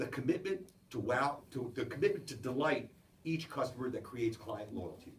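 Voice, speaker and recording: A somewhat breathy man speaks at a moderate pace and medium pitch with very wide pitch swings, with audible room echo. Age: 70s. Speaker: business executive giving a talk. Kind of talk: motivational business talk to a small audience.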